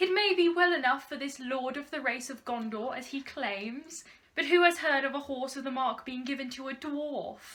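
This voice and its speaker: A woman uses a put-on character voice, nasal and raised to project, at a high pitch. She speaks at a moderate pace. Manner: haughty.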